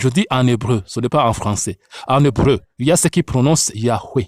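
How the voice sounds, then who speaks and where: This very clean recording, with its silent background, carries speech at a very slow pace. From Africa. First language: an African language, French learned later (speaking French). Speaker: Bible teacher. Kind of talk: religious teaching.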